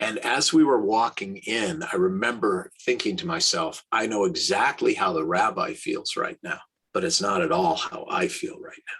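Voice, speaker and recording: A man talks at a moderate pace. He hardly pauses at all. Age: 60s. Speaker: rabbi. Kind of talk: interview. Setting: podcast.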